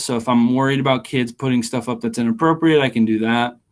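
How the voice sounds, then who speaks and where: This man talks at a very fast pace. His pitch sits at a medium level. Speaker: teacher trainer. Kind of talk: webinar tutorial. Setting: webinar. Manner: animated.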